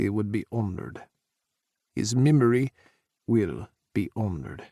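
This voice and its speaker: A man in a booming, put-on character voice speaks at a moderate pace with a fairly low pitch and lively intonation. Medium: read story. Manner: hearty, commanding.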